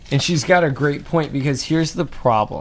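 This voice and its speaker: An American-accented man against noticeable background noise. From Atlanta, US. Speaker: podcast co-host. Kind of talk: casual chat.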